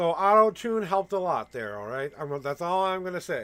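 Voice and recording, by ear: A man's fairly bright, high voice with lively intonation at a moderate pace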